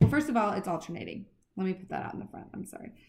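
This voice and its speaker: Through audible room echo comes a woman's somewhat breathy voice. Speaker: math teacher. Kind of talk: lecture. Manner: fast.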